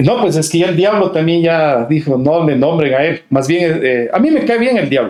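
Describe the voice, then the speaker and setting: A man speaks in a high pitch at a moderate pace. His intonation is lively and his loudness stays very even. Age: 50s. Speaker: singer-songwriter and writer. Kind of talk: casual interview chat.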